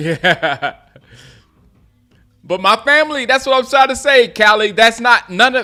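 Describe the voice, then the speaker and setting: At a fairly slow pace, a man with an American accent uses a raised, projected voice of bright, sharp tone and very wide pitch swings. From US South, Gaffney, South Carolina. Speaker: sports live streamer. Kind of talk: live game commentary and chat. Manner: casual, repetitive, halting.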